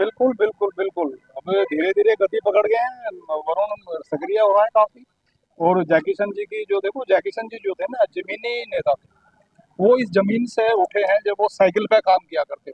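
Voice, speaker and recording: This man has a high-pitched voice, moderate pace, and ordinary pitch variation. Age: 60s. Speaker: local party worker. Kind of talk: interview.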